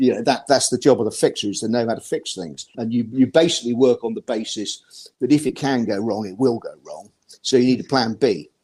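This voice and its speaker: A man's dark, mellow tone with ordinary pitch variation and big swings in loudness. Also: medium pitch for a man, fairly quick pace. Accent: British. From Britain. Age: 60s. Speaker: ski journalist. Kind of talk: interview. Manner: halting, with many repeated words.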